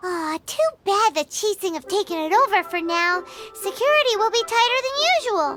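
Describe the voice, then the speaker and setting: An extremely high-pitched put-on character voice speaks at a moderate pace. Faint music plays in the background. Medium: fan dub. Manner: excitable, complaining.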